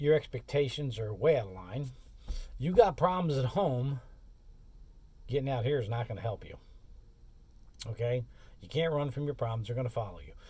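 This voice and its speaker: A man speaks fairly quickly but with long, frequent pauses, his medium-pitched voice somewhat breathy with a dark, mellow tone. His intonation is lively and his loudness swings widely. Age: 60s. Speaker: courier and expedite driver, vlogger. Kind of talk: casual monologue vlog. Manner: casual, conversational.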